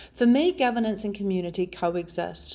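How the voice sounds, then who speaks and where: Here a woman speaks at a fairly quick pace with a New Zealand accent. Her voice sits at medium pitch with ordinary pitch variation. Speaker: local election candidate. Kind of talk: campaign video talk to camera.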